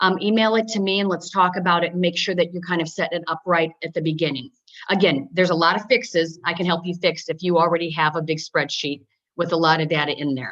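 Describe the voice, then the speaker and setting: Fairly quick female speech, fairly low in pitch, with ordinary pitch variation. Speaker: software trainer. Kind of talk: webinar tutorial. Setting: webinar. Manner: fast.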